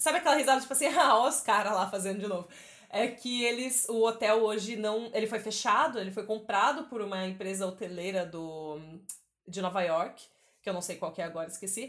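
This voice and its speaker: This woman has an ordinary speaking voice, fairly high in pitch, with lively intonation at a moderate pace. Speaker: podcast host. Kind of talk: casual chat.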